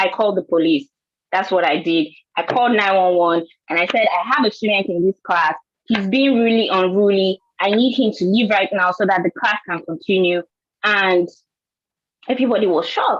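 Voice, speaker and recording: With a Nigerian accent, a woman of medium pitch speaks at a moderate pace with ordinary pitch variation, very even loudness and long, frequent pauses. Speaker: scientist and teacher. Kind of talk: panel discussion.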